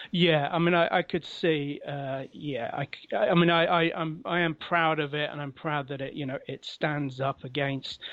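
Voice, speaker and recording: A man's fairly high voice in a London accent, at a moderate pace with fairly even intonation. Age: 40s. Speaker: comic book writer. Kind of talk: interview. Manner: halting.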